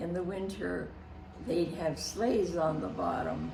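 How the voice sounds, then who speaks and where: A woman speaks over noticeable background noise. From Canada. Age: 80s+. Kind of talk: interview answer.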